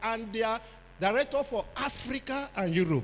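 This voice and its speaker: A man is speaking. His pitch is extremely high. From Nigeria. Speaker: pastor. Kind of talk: sermon. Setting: church conference with audience. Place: hall. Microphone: handheld.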